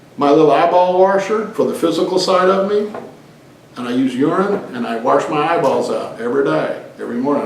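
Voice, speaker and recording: A man with a fairly high pitch talks fairly quickly, with audible room echo and noticeable background noise around him. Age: 60s. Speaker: lay preacher leading a group talk. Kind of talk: informal teaching in casual group discussion. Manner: casual, conversational.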